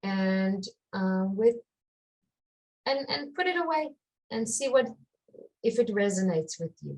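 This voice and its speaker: A woman with an Israeli accent speaks in a fairly high, somewhat breathy voice with lively intonation. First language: Hebrew. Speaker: life purpose coach. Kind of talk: interview. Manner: halting.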